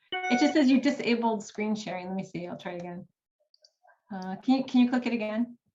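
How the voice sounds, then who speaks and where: Over music in the background, a woman talks very fast in an American accent at a fairly high pitch, with big swings in loudness. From United States. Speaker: writing coach. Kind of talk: workshop presentation.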